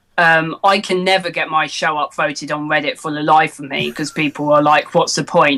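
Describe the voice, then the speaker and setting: At a moderate pace and with hardly any pauses, the speaker talks in an English accent. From England. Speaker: Minecraft news show host, podcast guest. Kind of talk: casual chat.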